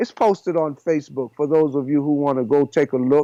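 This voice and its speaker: Recorded dry and close with no echo over a quiet background, a man with a fairly high pitch and a dark, mellow tone speaks at a moderate pace. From Panama. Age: 70s. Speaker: raw food chef. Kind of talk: podcast interview.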